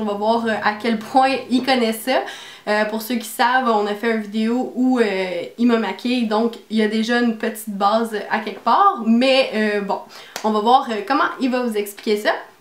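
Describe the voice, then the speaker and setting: Fairly slow, fairly even female speech at a fairly high pitch, over noticeable background noise. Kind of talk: casual talk to camera.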